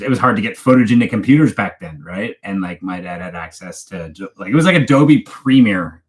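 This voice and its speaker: A man with a slight Canadian accent speaks with ordinary pitch variation. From Canada, Toronto area. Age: 40s. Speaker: true crime YouTuber. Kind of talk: live stream chat. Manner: casual, halting with fillers.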